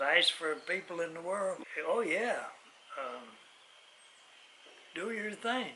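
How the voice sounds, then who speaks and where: The voice is raised and projected, with lively intonation. It moves at a very slow pace with long, frequent pauses over noticeable background noise. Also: man, high pitch for a man. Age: 80s+. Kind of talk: casual conversation.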